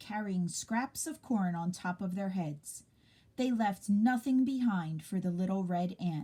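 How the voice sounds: The recording presents a natural reading voice.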